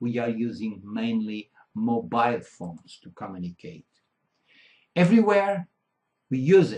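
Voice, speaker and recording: Fairly slow delivery in a Portuguese accent, with long and frequent pauses, very wide pitch swings and big shifts in loudness. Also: man, medium pitch for a man, dry, close sound with no echo. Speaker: keynote speaker. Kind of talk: conference keynote. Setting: conference hall with audience. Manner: halting, self-correcting.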